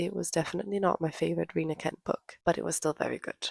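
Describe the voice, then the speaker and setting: Soft-spoken woman at a fairly low pitch, with a dry, close sound and no echo. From Denmark. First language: Danish. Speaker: book vlogger. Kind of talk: casual chat. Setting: at home.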